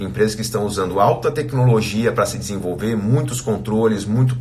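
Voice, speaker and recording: A man with a fairly low voice talks at a moderate pace, and the room echo is audible. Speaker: financial educator, live streamer. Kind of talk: casual live chat recap. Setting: live stream. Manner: halting, many fillers.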